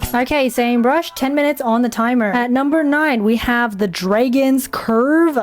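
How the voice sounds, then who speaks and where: A woman with a high voice speaks with hardly any pauses and very even loudness. Her pitch varies in an ordinary way, and background noise is noticeable. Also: moderate pace. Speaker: drawing content creator. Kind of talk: casual drawing commentary. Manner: animated.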